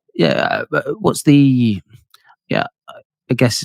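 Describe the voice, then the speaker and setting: With a British accent, a man at a medium pitch speaks at a moderate pace with ordinary pitch variation, the sound dry and close with no echo. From UK. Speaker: podcast host. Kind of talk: podcast interview.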